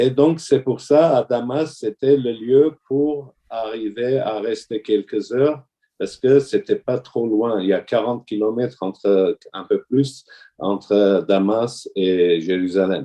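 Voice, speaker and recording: A man at medium pitch, talking at a very slow pace. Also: ordinary pitch variation. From Syria, Damascus (Armenian family). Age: 60s. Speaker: orthodox deacon. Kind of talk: testimony. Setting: video call. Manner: halting.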